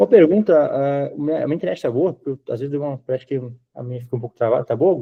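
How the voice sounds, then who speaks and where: A man with a southern Brazilian accent speaks at a very fast pace. His fairly high voice carries lively intonation. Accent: southern Brazilian (gaúcho). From southern Brazil, Rio Grande do Sul. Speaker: IT consultant / sales. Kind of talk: sales pitch on video call.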